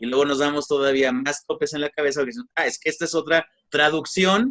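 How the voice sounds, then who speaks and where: A fairly high-pitched man with a Mexican accent, recorded dry and close with no echo. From Mexico. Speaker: egyptologist lecturer. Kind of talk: lecture. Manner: hesitant with fillers.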